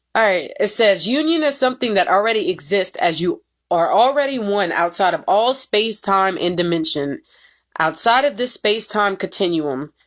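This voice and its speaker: A woman speaks with lively intonation at a moderate pace in a normal speaking voice. The recording is very clean, with a silent background. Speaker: spiritual reader. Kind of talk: casual monologue.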